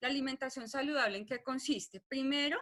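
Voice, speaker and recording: This woman's voice sits at a high pitch. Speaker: nutrition doctor. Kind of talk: webinar lecture. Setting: online webinar.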